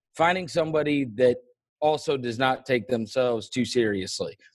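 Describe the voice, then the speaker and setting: An unremarkable speaking voice, a man with an American accent talks at a medium pitch with ordinary pitch variation. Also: dry, close sound with no echo. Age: 40s. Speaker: sports podcast host. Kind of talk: casual interview.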